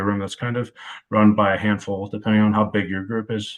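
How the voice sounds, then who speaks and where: Intonation stays fairly even as the speaker talks at a fairly quick pace with an American accent. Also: man. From US Midwest, Cleveland, Ohio area. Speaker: college football wide receivers coach. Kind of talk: podcast interview. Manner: dry, deadpan delivery.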